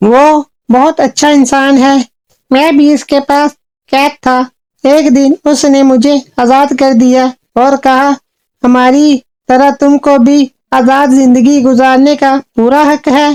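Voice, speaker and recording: This female-sounding voice is a cartoonish character voice, high in pitch yet monotone and flat in intonation. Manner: earnest, storytelling.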